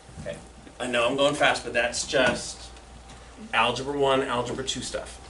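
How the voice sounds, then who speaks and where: A man speaks in a room with audible echo. Noticeable background noise sits behind him. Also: moderate pace. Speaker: high school math teacher. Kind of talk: classroom lecture. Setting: classroom with students.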